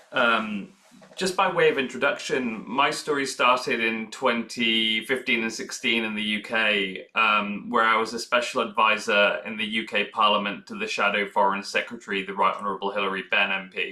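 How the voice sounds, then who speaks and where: A man speaks with a British accent at a moderate pace, barely pausing. His pitch is medium with ordinary variation, and background noise is noticeable. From UK. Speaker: nonprofit chief executive. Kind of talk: panel talk.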